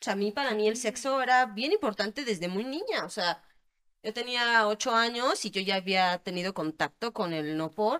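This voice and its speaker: A woman talks with an ordinary speaking voice. Her pace is moderate and her intonation lively. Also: fairly high pitch for a woman. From Querétaro, Mexico. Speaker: adult film actress. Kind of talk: interview.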